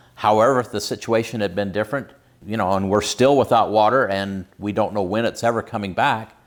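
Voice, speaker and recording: An unremarkable speaking voice from a man, fairly low in pitch, at a fairly quick pace with fairly even intonation. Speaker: emergency preparedness channel host. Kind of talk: casual talk to camera.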